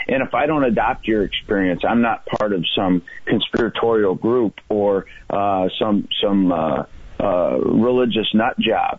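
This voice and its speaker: Noticeable background noise sits behind a man speaking at a fairly low pitch and a fairly slow pace. His loudness stays very even, with ordinary pitch variation. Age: 40s. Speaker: federal prosecutor. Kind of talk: radio interview.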